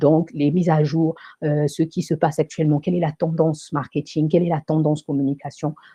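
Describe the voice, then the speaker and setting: Somewhat breathy and very deep and low in pitch, a woman's dark, mellow voice moves at a fairly quick pace with very even loudness, dry and close with no echo. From Africa. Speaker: online show host and coach. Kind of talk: live stream monologue, motivational promo. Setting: live stream on camera. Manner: animated.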